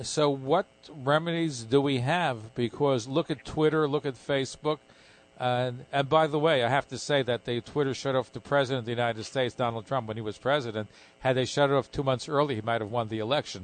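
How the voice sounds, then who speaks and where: Here is a man with a normal speaking voice. His pitch is medium, with ordinary pitch variation. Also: fairly quick pace, dry, close sound with no echo. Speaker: radio host. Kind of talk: live radio interview. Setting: radio studio broadcast with callers.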